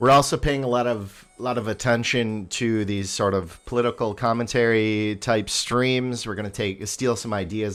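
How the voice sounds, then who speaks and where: A man with a fairly low pitch talks at a moderate pace and with fairly even intonation. The recording is very clean, with a silent background. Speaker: livestreamer. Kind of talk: casual livestream talk. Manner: halting, many fillers.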